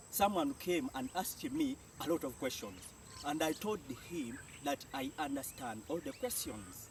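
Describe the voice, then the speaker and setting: A man speaks with a Jamaican accent at a fairly high pitch. His pitch swings very widely. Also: moderate pace. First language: Jamaican Patois. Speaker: language teacher. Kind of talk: tutorial.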